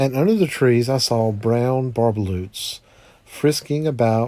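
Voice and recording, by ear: This is reading aloud in a natural voice. The pitch varies in an ordinary way.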